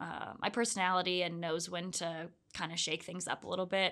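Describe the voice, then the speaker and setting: A woman with an American accent, medium pitch, bright, sharp, animated tone, quiet background. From US South, Orlando, Florida. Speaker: ultra runner. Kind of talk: casual interview. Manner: animated, laughs often.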